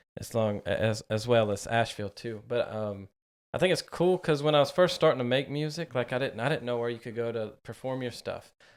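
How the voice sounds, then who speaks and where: At a fairly quick pace, a man with an unremarkable speaking voice talks at a medium pitch with ordinary pitch variation, in a very clean recording with a silent background. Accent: American. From US South, western North Carolina. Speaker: podcast host. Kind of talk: casual chat.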